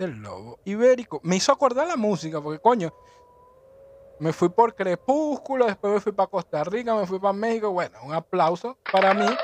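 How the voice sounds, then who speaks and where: An animated man's voice against noticeable background noise. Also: dry, close sound with no echo. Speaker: podcast host. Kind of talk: casual solo monologue.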